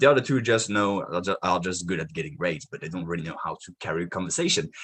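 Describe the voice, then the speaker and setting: Very fast delivery in a French accent, with lively intonation and big swings in loudness. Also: man, very deep, low pitch for a man. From France. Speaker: marketing podcast host. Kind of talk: live video monologue. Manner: energetic.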